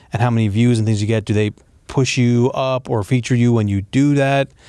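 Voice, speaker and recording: The voice belongs to a man with a dark, mellow tone. He holds a medium pitch with fairly even intonation. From US, born in Egypt. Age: 30s. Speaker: podcast host. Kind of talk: interview.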